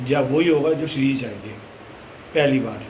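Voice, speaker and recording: A man talks at a moderate pace and fairly high pitch in monotone, flat intonation, with audible room echo and noticeable background noise. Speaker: devotional vlogger. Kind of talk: casual vlog.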